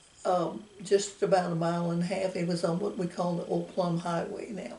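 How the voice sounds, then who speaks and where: A woman with a Texan accent at a moderate pace, amid audible room echo and noticeable background noise. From Texas, Fayette County. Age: 90s. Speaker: oral history interviewee. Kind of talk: oral history interview. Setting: at home. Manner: halting.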